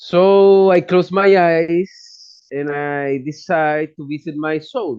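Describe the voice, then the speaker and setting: At a very slow pace, a man with a Chilean accent and high pitch speaks with ordinary pitch variation and big swings in loudness. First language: Spanish. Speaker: psychologist and shaman. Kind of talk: personal testimony. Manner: non-native, halting English.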